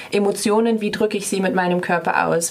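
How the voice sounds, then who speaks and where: A woman speaks in a monotone, flat way against noticeable background noise. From northern Germany, Bremen. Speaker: dance student. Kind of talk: radio interview. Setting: radio studio.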